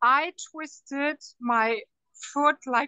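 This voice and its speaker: High, fairly even intonation from a woman. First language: not English. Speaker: network marketing partner. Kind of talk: testimony. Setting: airport, traveling.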